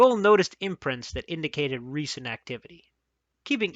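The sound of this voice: With a quiet background behind them, someone reads in an unforced voice.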